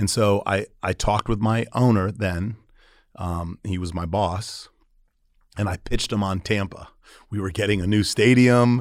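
In a very clean recording with a silent background, a man with an American accent speaks at a moderate pace and a fairly low pitch. It is an unremarkable speaking voice. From Florida, St. Petersburg. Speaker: restaurant entrepreneur. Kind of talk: interview.

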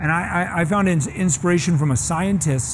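Fairly high pitch for a man, fairly even intonation, and audible room echo. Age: 50s. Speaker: master sommelier and restaurateur. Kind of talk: seminar talk. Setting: small seminar audience.

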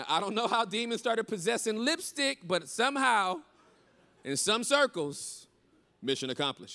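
A man's raised, projected voice, high in pitch, bright and sharp in tone, animated, with very wide pitch swings at a moderate pace, in a very clean recording with a silent background. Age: 40s. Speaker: pastor. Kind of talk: sermon. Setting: stage with audience.

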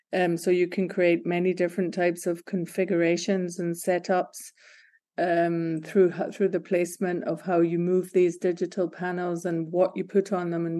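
A dark, mellow tone with monotone, flat intonation at a moderate pace, quiet background. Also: woman. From Scotland, Glasgow. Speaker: creative director. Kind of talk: interview. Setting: remote call.

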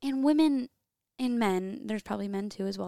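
A woman talks at a fairly high pitch. The sound is dry and close, with no echo. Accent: Midwestern US. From Iowa, Oskaloosa. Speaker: podcast guest, host's girlfriend. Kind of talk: casual chat. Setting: home office.

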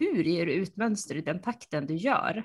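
A woman speaks at a moderate pace in an ordinary speaking voice, with medium pitch and ordinary pitch variation. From Sweden, central Uppsala. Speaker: podcast co-host, knitter. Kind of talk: casual chat.

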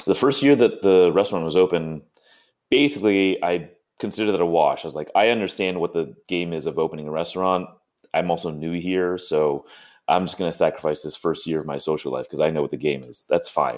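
At a fairly quick pace, a man with an American accent and a very deep, low pitch speaks with ordinary pitch variation on a very clean recording with a silent background. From California. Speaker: chef. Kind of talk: casual chat.

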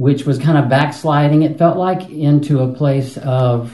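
Speaking at a very slow pace, a man with a fairly high pitch has a dark, mellow tone and sounds somewhat breathy. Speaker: retreat participant.

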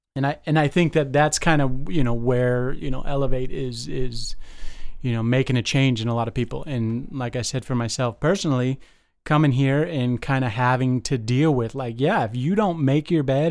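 A man with an American accent speaks at a medium pitch and a moderate pace in an unremarkable speaking voice. The recording is very clean, with a silent background. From Las Vegas, US. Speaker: detox supervisor in addiction treatment, in recovery. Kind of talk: casual chat.

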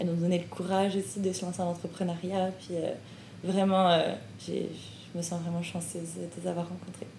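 A woman's fairly low, monotone voice with flat intonation at a moderate pace, with audible room echo. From France. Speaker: graduate student and podcast host. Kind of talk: casual interview.

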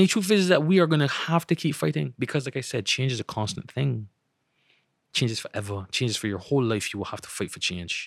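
Against a silent background in a very clean recording, a man at medium pitch talks at a very fast pace with very wide pitch swings. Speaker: poet and journalist. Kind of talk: casual interview. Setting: outdoors by the ocean.

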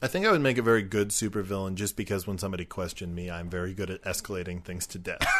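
A man's very deep, low voice at a very fast pace, fairly even in intonation, with hardly any pauses. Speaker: podcast co-host. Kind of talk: casual chat. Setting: outdoors at a picnic table. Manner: varies between quiet and loud.

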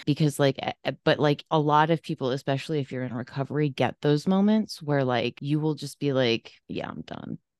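A woman talks at a fairly quick pace with hardly any pauses, her pitch very deep and low with ordinary variation. The sound is dry and close with no echo, over a quiet background. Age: 30s. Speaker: podcaster and mental health storyteller. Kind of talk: casual interview chat.

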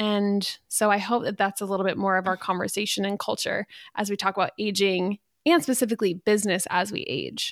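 At a fairly quick pace, a woman with an ordinary speaking voice talks at a medium pitch with fairly even intonation, on a very clean recording with a silent background. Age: 30s. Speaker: podcast co-host and wedding photographer. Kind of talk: casual chat.

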